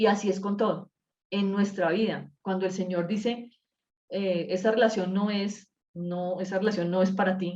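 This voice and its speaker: A woman speaks in a medium pitch with monotone, flat intonation. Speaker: Bible study teacher. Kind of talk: Bible study class. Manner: fast; uses filler words.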